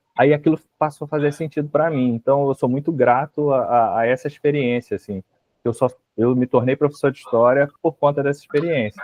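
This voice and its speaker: Speaking with a Rio de Janeiro accent, a man keeps a fairly quick pace, a fairly high pitch and fairly even intonation. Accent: carioca, hissing S. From Rio de Janeiro, Baixada Fluminense. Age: 40s. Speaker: history professor. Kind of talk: interview.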